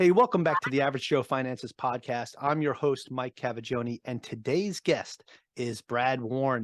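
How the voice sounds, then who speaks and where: A man with a Long Island accent, fairly high in pitch and fairly quick, in a dry, close sound with no echo over a quiet background. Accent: Long Island New York. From New York, Long Island (Central Islip, Suffolk County). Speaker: podcast host. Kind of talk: podcast interview.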